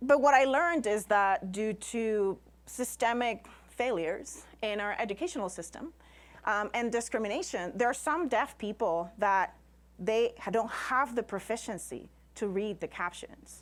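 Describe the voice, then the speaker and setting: Speaking with a Spanish accent, a woman keeps a moderate pace and lively intonation. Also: fairly high pitch for a woman, very clean recording, silent background. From Puerto Rico, rural. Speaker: scientist and science communicator. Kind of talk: lecture.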